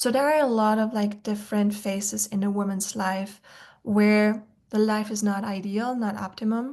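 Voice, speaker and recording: A somewhat breathy woman with an Austrian accent, over a quiet background. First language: German. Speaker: nutrition expert. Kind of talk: webinar presentation. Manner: many filler words (um, like).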